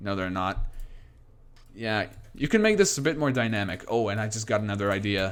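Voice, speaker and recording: The speaker goes at a fairly quick pace with ordinary pitch variation and long, frequent pauses. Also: man, fairly low pitch for a man. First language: not English. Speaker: game streamer. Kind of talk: live stream commentary. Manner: halting.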